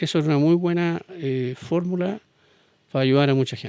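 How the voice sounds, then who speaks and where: In a Chilean accent, a man talks at a moderate pace. His pitch is fairly high, with ordinary variation. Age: 70s. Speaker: business executive. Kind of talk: interview.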